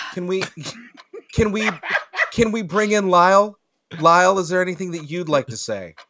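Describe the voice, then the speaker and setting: A man with a high pitch uses a raised, projected voice at a moderate pace. His pitch varies in an ordinary way, with long, frequent pauses. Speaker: comedy podcast cast member. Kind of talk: casual chat.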